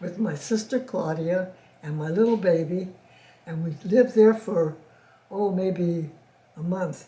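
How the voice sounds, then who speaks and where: Fairly slow, fairly low speech from a woman with an American accent, a dark, mellow tone, somewhat breathy delivery and ordinary pitch variation. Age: 80s+. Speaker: oral history interviewee. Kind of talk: interview answer. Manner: halting, repetitive.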